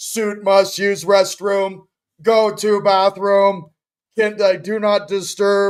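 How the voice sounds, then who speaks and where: Here a man puts on a robotic character voice with high pitch. He speaks at a very slow pace. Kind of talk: telegraphic, robotic phrasing. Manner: dim robotic.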